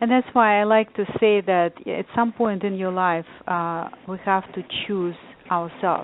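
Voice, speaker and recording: With a non-native accent, a woman speaks fairly slowly at a medium pitch with fairly even intonation. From Lithuania. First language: not English. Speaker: author and life coach. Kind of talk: casual interview chat.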